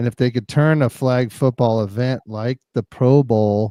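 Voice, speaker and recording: A man speaks at a fairly slow pace in a medium pitch with a dark, mellow tone and fairly even intonation, the sound dry and close with no echo. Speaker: podcast co-host, school sports coach. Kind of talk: casual sports chat.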